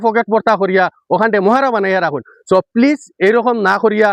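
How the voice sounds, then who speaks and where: Heard in a dry, close sound with no echo, a man speaks at a high pitch with ordinary pitch variation. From Silchar, Assam (Barak Valley). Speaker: local video blogger. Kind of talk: on-location vlog address. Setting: outdoors at riverbank embankment. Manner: halting.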